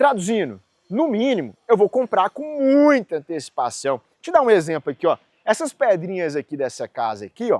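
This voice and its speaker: Animated in tone, a man talks at a moderate pace in a high voice with very wide pitch swings. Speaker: civil engineer, construction youtuber. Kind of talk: tutorial. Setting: construction site. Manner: casual, animated.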